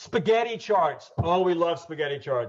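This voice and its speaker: With a Southern US accent, the speaker sounds somewhat breathy and uses lively intonation. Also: man. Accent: Southern American. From US South, Georgia (Atlanta). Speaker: Lean Six Sigma consultant and trainer. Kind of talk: webinar presentation. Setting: online webinar. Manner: fast.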